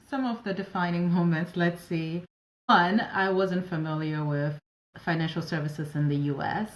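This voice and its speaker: Here a woman speaks in a French accent. Her pitch varies in an ordinary way. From West Africa (Ivory Coast and Ghana). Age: 40s. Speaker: operations advisor and entrepreneur. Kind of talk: interview conversation.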